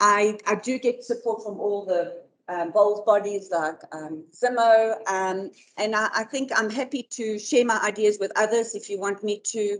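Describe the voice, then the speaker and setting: Fairly slow speech from a woman, fairly high in pitch, with pitch varying in an ordinary way. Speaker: bowls club organiser. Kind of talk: presentation. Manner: loud; halting.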